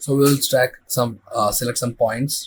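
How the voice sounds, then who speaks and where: At a very slow pace, a man talks in a somewhat breathy voice of medium pitch. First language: not English. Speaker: visual effects tutorial creator. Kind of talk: tutorial. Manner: halting.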